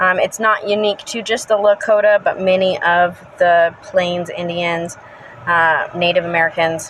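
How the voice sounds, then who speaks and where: A woman speaks at a fairly slow pace with a medium pitch. Noticeable background noise can be heard. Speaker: pagan spiritual vlogger. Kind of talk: casual educational talk. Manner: energetic.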